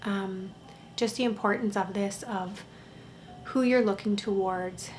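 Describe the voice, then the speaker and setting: A soft-spoken woman talks at a fairly slow pace in a calm tone, her medium pitch kept fairly even. Audible room echo surrounds her voice. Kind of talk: casual vlog talk. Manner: very quiet, soft-spoken; slow, calm.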